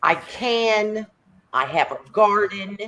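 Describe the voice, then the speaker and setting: A woman's voice with a Southern US accent. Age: 60s. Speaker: home canner. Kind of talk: casual group chat. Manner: animated.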